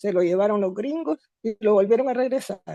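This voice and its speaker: A woman's voice has a dark, mellow tone and lively intonation. The sound is dry and close, with no echo. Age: 70s. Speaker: course participant. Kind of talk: online seminar comment.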